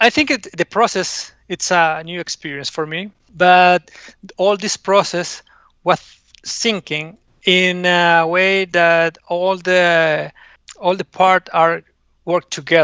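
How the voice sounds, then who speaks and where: Talking at a very slow pace, a man with a high pitch keeps his intonation fairly even. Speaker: course developer. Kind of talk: casual interview chat. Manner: halting.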